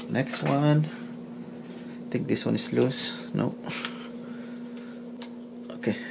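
Against clear background noise, a man with a medium pitch and vocal fry speaks at a very slow pace with ordinary pitch variation.

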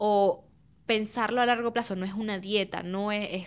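In a quiet background, a woman with a plain, everyday voice speaks at medium pitch and a moderate pace, with fairly even intonation. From Venezuela. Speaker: podcast host. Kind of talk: casual chat. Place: studio. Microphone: studio mic.

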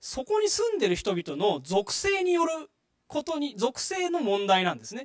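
A man's extremely high voice with very wide pitch swings, over a quiet background. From Japan, Saitama. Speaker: public lecturer, former residents' association official; guest lecturer. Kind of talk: lecture. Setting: stage with audience. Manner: frequent filler words. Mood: friendly, smiling. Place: hall.

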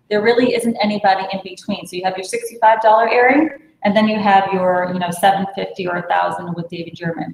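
Amid audible room echo, a woman speaks at a moderate pace with ordinary pitch variation and big swings in loudness. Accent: American. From Brooklyn, New York; New York. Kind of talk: sales pitch. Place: home room. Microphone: video call.

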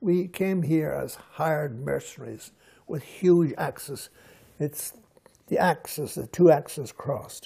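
Against a quiet background, a man with a dark, mellow tone and fairly high pitch talks at a fairly slow pace with ordinary pitch variation. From Scotland, then Ireland border area; Scotland. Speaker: writer; interviewee. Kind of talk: interview. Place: home room. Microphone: lapel.

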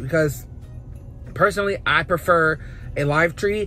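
Music plays behind a man with a high voice. His pitch varies in an ordinary way, and the sound is dry with no echo. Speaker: vlogger. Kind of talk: casual vlog chat. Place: car. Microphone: phone near.

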